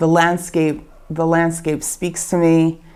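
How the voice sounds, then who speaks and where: In a Baltimore accent, a woman speaks with a very deep, low pitch. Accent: American (Baltimore). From Baltimore, Maryland, USA. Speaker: bakery owner. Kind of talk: interview answer.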